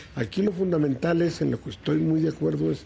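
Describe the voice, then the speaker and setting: A man speaks at a moderate pace with lively intonation. His voice is fairly high in pitch, with a dark, mellow tone. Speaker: politician, senator. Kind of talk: interview.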